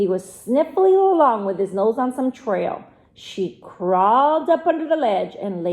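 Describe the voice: This is plain reading aloud. Nothing more is marked.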